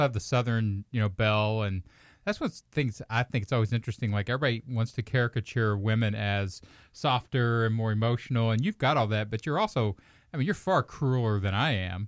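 In a very clean recording with a silent background and a dry, close sound with no echo, a man speaks very fast at a medium pitch with very even loudness. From Kentucky. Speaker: stand-up comic and podcast host. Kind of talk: casual chat.

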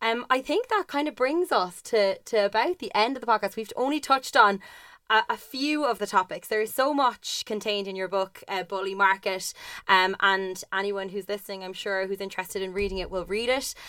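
With an Irish accent, a woman talks at a fairly quick pace in a fairly high, bright, sharp voice with ordinary pitch variation, on a very clean recording with a silent background. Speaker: podcast co-host. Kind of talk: interview conversation.

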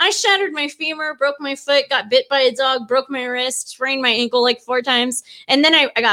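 Fairly quick speech over music in the background. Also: woman. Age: 30s. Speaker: podcast co-host. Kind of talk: casual chat.

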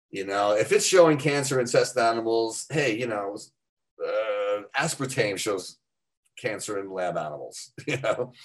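A man with an unremarkable speaking voice talks at a fairly slow pace. His pitch sits at a medium level and varies in an ordinary way. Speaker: fitness author. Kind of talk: casual interview.

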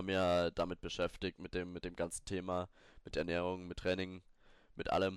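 With a very deep, low pitch, a man talks at a moderate pace in a dry, close sound with no echo and a quiet background. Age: 20s. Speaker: fitness podcaster. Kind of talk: solo podcast tutorial. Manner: casual, with many fillers and restarts.

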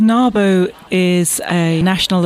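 Over noticeable background noise, a woman speaks with a southwest England accent. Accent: English (southwest England, refined). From Bath, southwest England. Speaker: business owner and association president. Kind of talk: casual interview. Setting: event interview.

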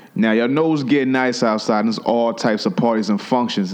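A man with an American accent at a very fast pace amid noticeable background noise. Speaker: podcast host. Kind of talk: casual banter, comedic. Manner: profane, joking, loud.

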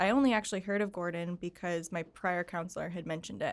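Fairly low in pitch, a woman talks at a fairly quick pace with an American accent in an ordinary speaking voice. The recording is very clean, its background silent. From upstate New York, Syracuse. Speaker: office worker at an accounting firm. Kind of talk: casual interview. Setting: studio.

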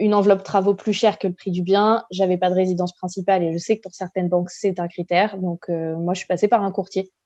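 A woman's medium-pitched, dark, mellow voice in monotone, flat intonation at a very fast pace with hardly any pauses, in a dry, close sound with no echo. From western France, La Rochelle. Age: 30s. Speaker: real estate investor. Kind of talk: interview.

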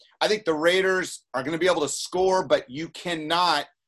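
Here is a man with an ordinary speaking voice. He keeps a moderate pace with ordinary pitch variation. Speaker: podcast co-host. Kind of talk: casual sports talk podcast.

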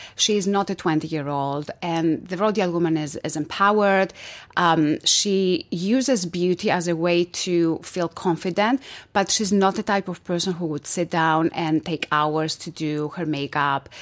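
A woman with a Greek accent, fairly low in pitch, moderate pace, ordinary pitch variation, very clean recording with a silent background. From Greece. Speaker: entrepreneur. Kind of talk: interview.

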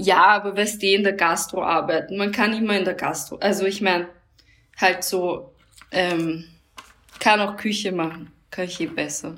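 A woman with an Austrian accent at medium pitch, moderate pace and fairly even intonation, with long, frequent pauses. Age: 30s. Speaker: fashion designer and DJ. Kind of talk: casual chat. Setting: remote call.

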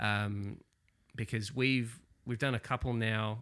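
A very clean recording with a silent background, in an Australian accent. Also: man. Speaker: podcast host and wargamer. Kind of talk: casual chat podcast.

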